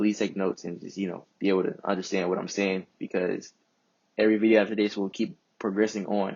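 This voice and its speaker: This man talks at a very fast pace in a fairly low pitch. His intonation is monotone and flat. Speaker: trading educator. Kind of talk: tutorial. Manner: casual, with fillers.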